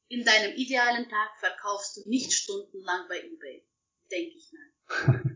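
A woman's fairly high voice at a moderate pace, with very wide pitch swings and big swings in loudness. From Russia. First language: Russian (speaking German). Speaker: professional organizer. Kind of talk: interview. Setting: video call.

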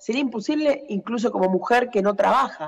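A woman talking at a fairly quick clip, with ordinary pitch variation. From outside Argentina. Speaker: agricultural machinery territory manager. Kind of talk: interview. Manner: halting.

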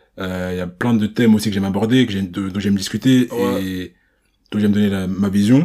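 A man's voice sits fairly low, its pitch varying in an ordinary way. He speaks at a fairly quick pace. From Paris region, France. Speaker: podcast host. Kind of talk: casual chat.

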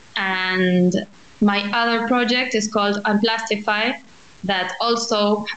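Speaking in a Spanish accent, a woman talks at a very slow pace with monotone, flat intonation. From Argentina, Buenos Aires. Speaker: architect and social entrepreneur. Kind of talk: interview.

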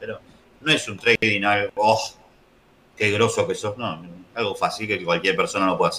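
Someone speaks with a Rioplatense accent over noticeable background noise. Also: man. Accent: Argentine Spanish (rioplatense). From Argentina. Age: 40s. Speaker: trader, software business owner. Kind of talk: casual interview.

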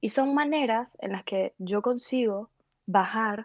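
A woman talks in an unremarkable speaking voice, fairly high in pitch with ordinary pitch variation. The sound is dry and close, with no echo. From Venezuela, Valencia. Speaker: philosopher. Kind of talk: interview.

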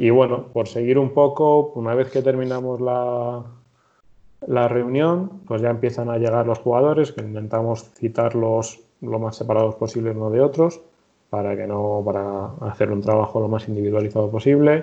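A man speaks with a central Spanish accent. His pitch is medium. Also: ordinary pitch variation, moderate pace. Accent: central Spain Castilian Spanish. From Spain, Madrid (Torrejón de Ardoz). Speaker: football injury rehab coach and PE teacher. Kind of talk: interview.

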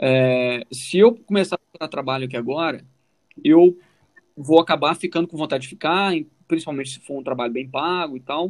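A man talks in a plain, everyday voice, fairly high in pitch with ordinary pitch variation. His pace is moderate and his loudness swings widely. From Brazil, Minas Gerais (Formiga). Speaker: podcast co-host, immigrant telling his story. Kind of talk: casual chat.

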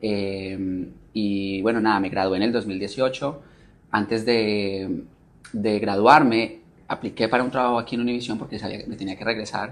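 A man with a Colombian accent speaks at a fairly low pitch and moderate pace, his intonation fairly even but his loudness swinging widely. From Colombia, Manizales. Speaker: TV news presenter and producer. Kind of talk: interview.

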